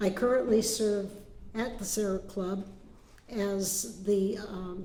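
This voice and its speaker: Audible room echo surrounds a woman speaking at a medium pitch. Her pace is very slow and her intonation fairly even. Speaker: Benedictine nun. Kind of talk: presentation to a group. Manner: halting, with filler words.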